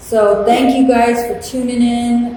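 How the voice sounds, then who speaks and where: A woman is talking. Noticeable background noise can be heard. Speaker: artist and channel host. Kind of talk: casual chat. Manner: loud.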